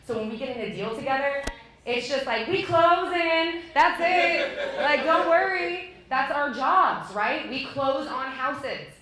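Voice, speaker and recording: Speaking in a raised, projected voice, a woman with a high pitch uses lively intonation and an animated tone. Audible room echo and noticeable background noise fill the recording. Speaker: real estate agent and team lead. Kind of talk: talk to an audience.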